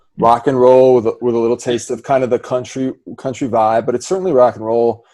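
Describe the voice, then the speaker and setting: A man's dark, mellow voice with an American accent, in a very clean recording against a silent background. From US Midwest, Milwaukee. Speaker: podcast host and singer. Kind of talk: casual interview chat.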